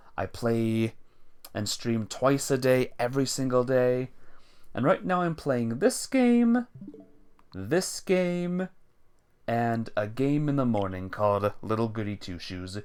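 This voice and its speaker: Very slowly and with long, frequent pauses, a man speaks at medium pitch. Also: lively intonation. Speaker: video game streamer. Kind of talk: casual live stream commentary. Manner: low energy.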